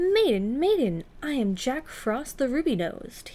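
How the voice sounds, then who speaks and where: A woman puts on a character voice with a high pitch. She talks at a moderate pace with very wide pitch swings. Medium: read story.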